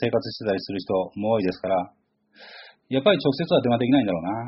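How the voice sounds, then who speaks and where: Talking at a very fast pace, a man speaks with a medium pitch. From Kanagawa, Chigasaki. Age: 40s. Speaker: podcast host. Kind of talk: casual solo monologue.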